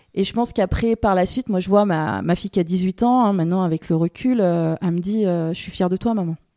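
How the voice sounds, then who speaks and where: A woman with a medium pitch and a dark, mellow tone speaks with ordinary pitch variation and hardly any pauses in a very clean recording with a silent background. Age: 40s. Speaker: beekeeper. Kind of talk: casual interview conversation. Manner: hesitant, many fillers.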